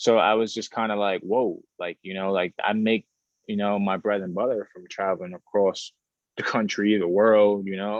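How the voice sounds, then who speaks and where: A man with a New York accent at a moderate pace, monotone and flat in intonation, with big swings in loudness. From Bronx, New York. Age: 20s. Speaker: model and social media influencer. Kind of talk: interview. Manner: casual, repetitive with restarts.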